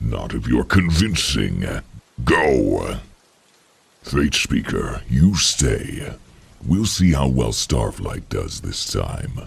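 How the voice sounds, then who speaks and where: A man in a put-on character voice, very deep and low in pitch, at a very slow pace with long, frequent pauses. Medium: audio drama. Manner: cold, curt, commanding.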